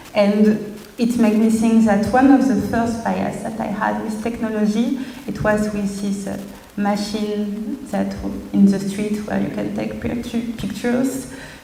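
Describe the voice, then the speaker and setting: Against noticeable background noise and audible room echo, a woman speaks with a French accent. Her fairly high voice moves at a fairly slow pace with flat, monotone intonation. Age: 20s. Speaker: designer and artist. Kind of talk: presentation. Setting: stage with audience. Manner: halting.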